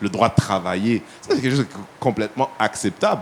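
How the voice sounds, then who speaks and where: A man at medium pitch, fairly quick and animated, with ordinary pitch variation over noticeable background noise. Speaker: panel guest. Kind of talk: panel discussion.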